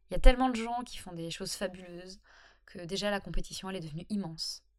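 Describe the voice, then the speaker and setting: A woman talks at a very fast pace. Her pitch sits in the middle range, with ordinary variation. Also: big swings in loudness. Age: 30s. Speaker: freelancer and blogger. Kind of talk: solo podcast monologue. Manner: casual, hesitant with fillers.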